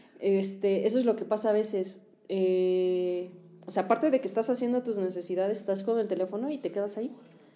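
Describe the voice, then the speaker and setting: The voice moves at a fairly quick pace, its tone dark and mellow, its pitch varying in an ordinary way. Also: woman, medium pitch for a woman. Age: 30s. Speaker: podcast co-host. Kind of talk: casual chat. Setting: studio.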